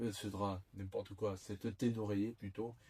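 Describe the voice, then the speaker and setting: Here a man speaks with a Toulouse accent in a fairly low, somewhat breathy voice. His intonation is monotone and flat. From southern France, Toulouse. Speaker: YouTuber. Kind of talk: product unboxing. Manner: hesitant, many fillers.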